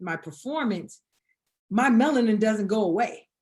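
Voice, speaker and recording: With a Southern US accent, a woman talks at a medium pitch with ordinary pitch variation. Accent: Southern drawl. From US South, Atlanta, Georgia. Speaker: combat veteran. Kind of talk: podcast interview. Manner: halting, repeats words.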